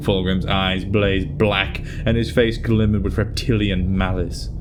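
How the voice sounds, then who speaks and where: With music in the background, a man speaks at a moderate pace with a fairly low pitch and ordinary pitch variation. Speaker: voice actor. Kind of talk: story narration.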